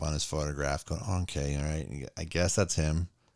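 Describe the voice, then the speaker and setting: Speaking at a moderate pace, a man with a very deep, low pitch and vocal fry comes through on a very clean recording with a silent background. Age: 40s. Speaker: movie podcast host. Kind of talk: casual chat.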